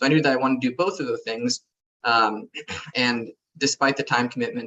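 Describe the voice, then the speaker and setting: Speaking at a very fast pace with an American accent, a man uses a medium pitch with ordinary variation. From US West Coast (San Diego). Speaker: MD-PhD student. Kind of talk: panel Q&A.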